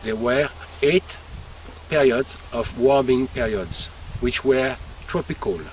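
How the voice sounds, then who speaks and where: A man with a French accent speaks at a very slow pace with lively intonation and long, frequent pauses over noticeable background noise. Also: medium pitch for a man. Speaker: winemaker. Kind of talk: explanatory tour talk to visitors. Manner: halting, searching for English words.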